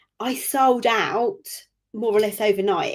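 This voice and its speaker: A woman speaks at a moderate pace with fairly even intonation in an unremarkable speaking voice. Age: 50s. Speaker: business owner and coach. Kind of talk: interview.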